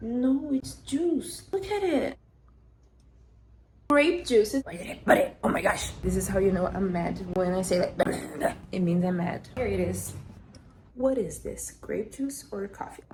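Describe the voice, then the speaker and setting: Noticeable noise runs through the background. A woman's speech moves fairly slowly over it. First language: not English. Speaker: sewing vlogger. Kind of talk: casual vlog.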